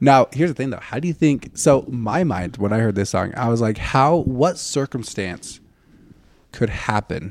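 A man with an unremarkable speaking voice talks at a moderate pace and medium pitch. His intonation is lively in a very clean recording with a silent background. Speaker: podcast co-host. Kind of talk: casual chat.

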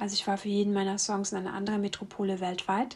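A woman with a medium pitch talks in a monotone, flat intonation on a very clean recording with a silent background. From East Germany. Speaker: podcast host, singer-songwriter. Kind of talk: personal monologue.

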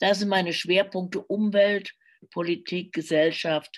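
A woman speaks over a quiet background. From Germany, Cologne. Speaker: crime novelist and radio journalist. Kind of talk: casual interview. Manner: hesitant, many filler sounds.

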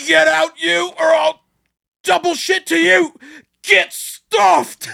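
Shouting and bellowing in a put-on character voice, the speaker is loud at a middle pitch and keeps a fairly slow pace. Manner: screaming, furious.

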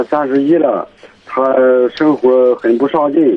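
A man's fairly slow, fairly even delivery over noticeable background noise. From Pingyin, Shandong. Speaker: caller, parent. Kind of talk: phone-in conversation. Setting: phone call.

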